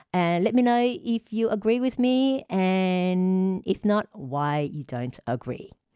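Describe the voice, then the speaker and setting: A woman talks at a very slow pace with hardly any pauses, her medium-pitched voice dark and mellow in tone. Her pitch makes very wide swings. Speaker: relationship advice show host. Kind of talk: monologue advice show.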